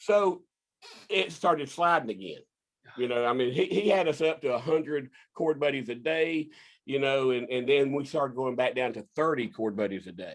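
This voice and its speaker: A man with a Southern US accent, a fairly high pitch, and lively intonation. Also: moderate pace. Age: 60s. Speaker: inventor and business owner. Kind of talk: casual interview. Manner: halting, repeats words.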